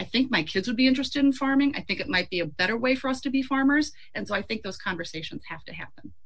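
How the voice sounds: A woman speaks fast in a fairly high voice. Her intonation is lively.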